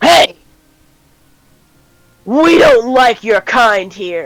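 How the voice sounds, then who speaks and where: Gruff and fairly high-pitched, this is a put-on character voice. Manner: hostile.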